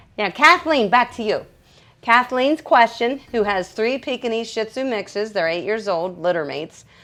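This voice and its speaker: A loud, animated woman with a fairly high pitch, a bright, sharp tone and lively intonation at a moderate pace over a quiet background. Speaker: dog groomer. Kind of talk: livestream Q&A tutorial. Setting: livestream from grooming table.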